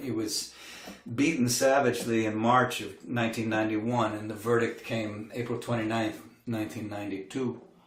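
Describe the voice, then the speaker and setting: A man with an American accent, medium pitch and a moderate pace, amid audible room echo and noticeable background noise. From US Midwest, Milwaukee. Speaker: singer-songwriter. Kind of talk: livestream concert talk.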